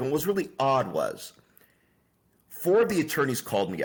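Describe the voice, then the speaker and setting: A man with a fairly high pitch, vocal fry, lively intonation, and a fairly quick pace. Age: 60s. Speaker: attorney and business founder. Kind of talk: interview.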